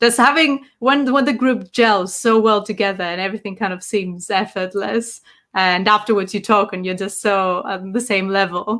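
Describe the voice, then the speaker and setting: A woman speaks at a moderate pace with a Greek accent, her pitch medium and its variation ordinary. The recording is very clean, with a silent background. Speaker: tabletop game master. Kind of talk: podcast interview.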